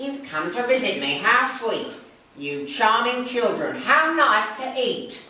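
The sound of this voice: A squeaky, put-on character voice moves at a fairly slow pace. There is a slight echo. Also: female-sounding voice, high pitch for a woman.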